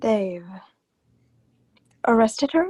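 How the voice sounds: A woman uses a put-on character voice, fairly high with a dark, mellow tone and big pitch swings. She speaks very slowly in a dry, close sound with no echo.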